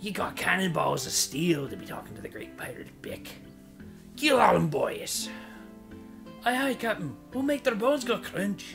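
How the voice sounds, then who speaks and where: Clear music plays behind a man using a put-on character voice. His pitch sits high. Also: moderate pace. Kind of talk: pirate voice. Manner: gruff, bossy, hammy.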